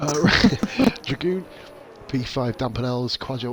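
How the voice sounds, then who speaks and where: A soft-spoken man talks with a British accent. Noticeable background noise can be heard. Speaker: sim racing league commentator. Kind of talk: live commentary. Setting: home stream, baby asleep.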